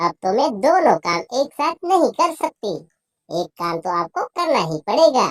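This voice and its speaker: A cartoonish character voice moves at a moderate pace with a fairly high pitch and very wide pitch swings. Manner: whiny, full of airs.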